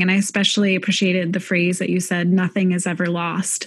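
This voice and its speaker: The speech comes at a very fast pace and sounds somewhat breathy. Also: woman. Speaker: podcast host. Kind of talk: interview conversation. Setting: video call.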